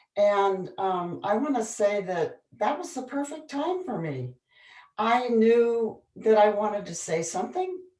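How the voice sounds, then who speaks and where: Speaking at a fairly slow pace, a woman with a fairly high pitch and dark, mellow tone shows very wide pitch swings and big swings in loudness, with audible room echo. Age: 70s. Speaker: author. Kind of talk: panel discussion.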